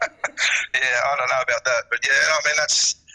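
A man with an Australian accent, dry, close sound with no echo, and noticeable background noise. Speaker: former footballer and football agent. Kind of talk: casual interview.

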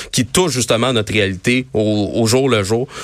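A plain, everyday voice from a man, fairly low in pitch, at a moderate pace with fairly even intonation, on a very clean recording against a silent background. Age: 20s. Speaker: youth wing leader of a political party. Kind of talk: radio interview. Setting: studio.

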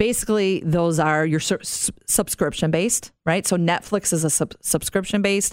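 A woman speaks in a normal speaking voice at a fairly low pitch with ordinary pitch variation. Her pace is moderate, and the recording is very clean with a silent background. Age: 50s. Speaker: podcast host and marketing executive. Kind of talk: casual chat.

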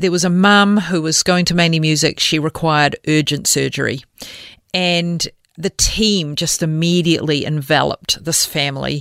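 A woman with a New Zealand accent talks at a moderate pace. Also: fairly low pitch for a woman, very even loudness. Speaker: charity CEO. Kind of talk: interview. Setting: studio.

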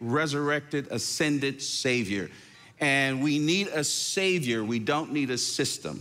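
A man's fairly high voice with an American accent, bright and sharp in tone, at a fairly slow pace with ordinary pitch variation and audible room echo. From northern New Jersey. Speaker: pastor. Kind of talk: interview.

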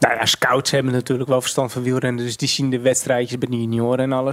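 A man's medium-pitched, monotone delivery at a very fast pace with flat intonation. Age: 30s. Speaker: professional cyclist. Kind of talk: casual chat. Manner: halting.

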